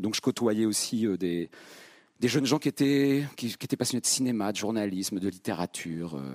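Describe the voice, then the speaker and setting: On a very clean, dry and close recording with no echo and a silent background, a man speaks at fairly low pitch with lively intonation. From central France (Vierzon). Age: 50s. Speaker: stage actor. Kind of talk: public masterclass conversation. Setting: theatre stage with live audience.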